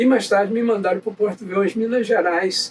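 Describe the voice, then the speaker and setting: The man's voice sits high in pitch. Behind it, noticeable background noise can be heard. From Brazil, Nova Friburgo, Rio de Janeiro state. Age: 80s+. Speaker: navy veteran. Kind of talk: interview, life story. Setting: chapel.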